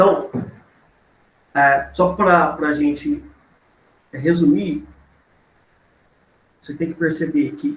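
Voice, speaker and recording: At a fairly slow pace, a man speaks with high pitch and ordinary pitch variation in a room with audible echo. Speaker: geography teacher. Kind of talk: online class lecture. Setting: online class with chat. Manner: halting, many fillers.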